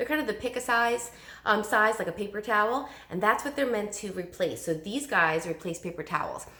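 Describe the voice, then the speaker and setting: Fairly high-pitched and animated, a woman talks at a fairly quick pace. Her intonation is lively. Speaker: direct sales consultant. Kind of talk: sales pitch. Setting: recorded video at home. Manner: fast.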